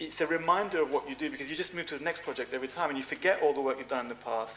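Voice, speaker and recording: Noticeable background noise runs through this clip. The man's pitch varies in an ordinary way. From Cyprus. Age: 40s. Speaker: fashion designer. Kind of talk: interview.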